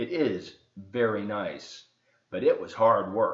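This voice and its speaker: Fairly slow, medium-pitched put-on character voice from a man. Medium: read story. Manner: calm, reassuring.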